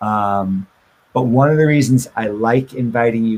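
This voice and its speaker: Using a normal speaking voice, a man talks at a moderate pace with a medium pitch and fairly even intonation. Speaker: web development teacher. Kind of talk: lecture.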